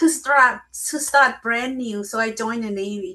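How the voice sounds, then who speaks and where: With a Lao accent, a woman speaks at a fairly high pitch in a bright, sharp tone. Her pace is moderate and her pitch variation ordinary. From Laos. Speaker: memoir author and speaker. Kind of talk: interview.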